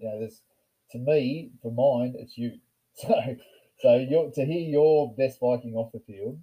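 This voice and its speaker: In an Australian accent, the dark, mellow voice moves at a fairly slow pace with ordinary pitch variation, big swings in loudness, and long, frequent pauses. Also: man, medium pitch for a man. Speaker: podcast host and rugby club member. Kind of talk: casual chat. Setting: in person, drinking beers.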